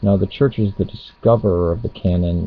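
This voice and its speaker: With a very deep, low pitch, a man speaks in a somewhat breathy voice at a moderate pace. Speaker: religious video blogger. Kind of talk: casual webcam monologue on theology.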